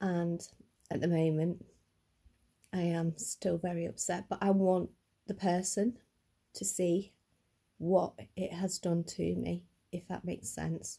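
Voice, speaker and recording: A woman speaks at a fairly slow pace with long, frequent pauses, her somewhat breathy voice fairly low in pitch, dark and mellow in tone, with monotone, flat intonation. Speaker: vlogger. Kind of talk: personal vlog testimony. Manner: stuttering a little.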